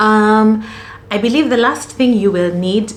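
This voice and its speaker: Over noticeable background noise and audible room echo, a woman with a Kenyan accent speaks at a moderate pace with lively intonation. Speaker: student vlogger. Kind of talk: casual tutorial vlog.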